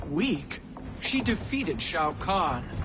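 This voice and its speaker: A woman's put-on character voice, fairly low in pitch, over loud background noise. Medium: video game.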